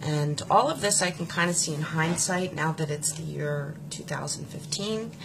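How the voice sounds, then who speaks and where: Speaking with an American accent at a moderate pace, a woman has a very deep, low pitch, fairly even intonation, and hardly any pauses. Noticeable background noise and audible room echo fill the recording. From US, Pennsylvania (Philadelphia area). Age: 40s. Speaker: political supporter sharing her story. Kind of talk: personal testimony.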